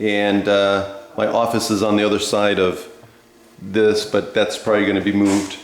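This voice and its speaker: A fairly low-pitched man is recorded with audible room echo and noticeable background noise. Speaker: math teacher. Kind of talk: lecture. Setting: detached garage under remodeling. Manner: loud.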